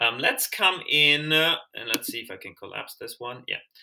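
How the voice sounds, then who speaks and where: Very wide pitch swings at a moderate pace, with a German accent. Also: man. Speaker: language learner and tutorial maker. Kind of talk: screen-share tutorial. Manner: hesitant, many fillers and restarts; casual, conversational.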